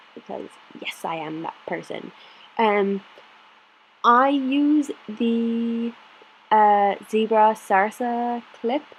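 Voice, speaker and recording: This woman speaks with an Irish accent. Her pitch is fairly high, with ordinary variation. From Ireland, County Clare. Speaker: planner vlogger. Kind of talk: casual chat. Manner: slow.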